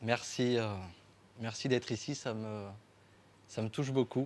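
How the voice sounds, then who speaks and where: Intonation fairly even, a man speaks at a very slow pace. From France, Champagne region (Marne). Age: 20s. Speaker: winemaker and artist. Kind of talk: talk to an audience. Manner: halting, many fillers.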